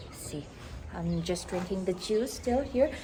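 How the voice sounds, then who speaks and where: A woman speaks with a northeastern Indian accent and lively intonation. Background noise is noticeable. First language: Mizo. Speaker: vlogger. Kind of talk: casual vlog talk. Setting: at home, walking with camera. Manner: slightly slurred.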